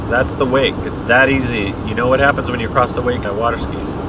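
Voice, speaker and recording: A man is speaking over loud background noise. His voice sounds dry, with no echo. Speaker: driver vlogger. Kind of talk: casual vlog chat. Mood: jokey, relaxed. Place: car. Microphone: camera far.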